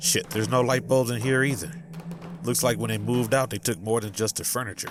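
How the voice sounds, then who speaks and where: With music in the background, a man speaks very fast. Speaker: author. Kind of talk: audiobook character dialogue.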